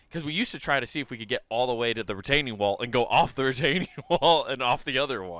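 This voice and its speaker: On a very clean recording with a silent background, a man with an American accent speaks at a very fast pace in an animated tone. His voice is bright and sharp, at a medium pitch with ordinary pitch variation. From Iowa, Sioux City area. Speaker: comedy podcast co-host. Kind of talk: casual chat. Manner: stutters at times.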